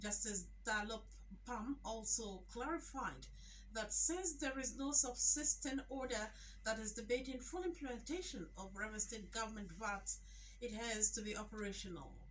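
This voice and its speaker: Against noticeable background noise, a woman with a fairly high pitch talks at a moderate pace with ordinary pitch variation. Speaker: radio newsreader. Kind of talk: radio news bulletin. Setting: radio studio.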